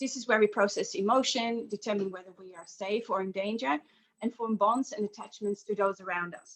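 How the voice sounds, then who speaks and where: A woman with a Dutch accent talks at a fairly quick pace in a fairly high pitch. Her pitch varies in an ordinary way, while her loudness swings widely. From Netherlands. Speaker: aromatherapy practitioner. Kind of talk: guided session presentation. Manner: halting, many fillers.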